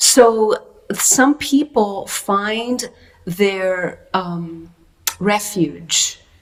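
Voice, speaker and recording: Speaking in a non-native accent, a woman uses a medium pitch with ordinary pitch variation. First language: not English. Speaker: workshop teacher. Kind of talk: interview conversation.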